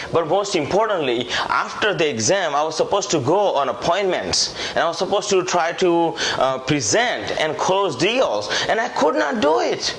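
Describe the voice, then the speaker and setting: Speaking with an Indian accent, a man talks at a moderate pace with hardly any pauses, his high voice animated and lively in intonation yet very even in loudness, while noticeable background noise and audible room echo surround him. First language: Indian language (not English). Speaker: sales trainer and author. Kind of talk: sales pitch.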